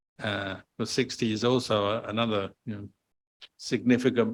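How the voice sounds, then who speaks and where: Fairly low pitch from a male speaker. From South London, England. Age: 60s. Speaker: Buddhist monk and teacher. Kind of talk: Q&A talk to an audience. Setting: temple hall with audience.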